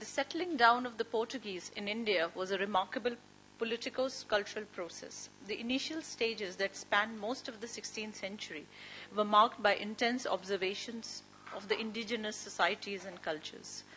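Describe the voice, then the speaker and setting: A woman speaks at a fairly quick pace with ordinary pitch variation. Light background noise sits behind her. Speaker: speaker. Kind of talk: academic paper reading. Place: meeting room. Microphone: podium.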